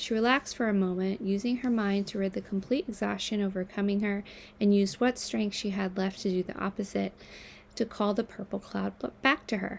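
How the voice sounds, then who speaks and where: At a fairly quick pace, an unremarkable speaking voice comes through on a very clean recording with a silent background. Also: woman, medium pitch for a woman, fairly even intonation. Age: 30s. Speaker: writer and mental health activist. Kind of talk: reading aloud; casual chat.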